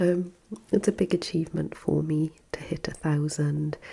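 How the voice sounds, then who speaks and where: Soft-spoken and fairly low in pitch, a woman with a Welsh accent talks at a fairly slow pace. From Wales. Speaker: ASMR content creator. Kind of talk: soft-spoken ASMR talk.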